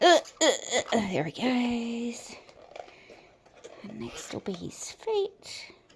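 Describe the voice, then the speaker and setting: Over noticeable background noise, a woman speaks at a very slow pace with long, frequent pauses and big swings in loudness. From Australia. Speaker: resin artist. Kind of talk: tutorial. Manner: casual, hesitant with fillers.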